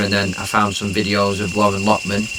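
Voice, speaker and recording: The delivery comes at a fairly quick pace, with audible room echo and noticeable background noise. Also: man. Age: 30s. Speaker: fasting interviewee, former boxer. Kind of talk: interview testimony. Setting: wellness center.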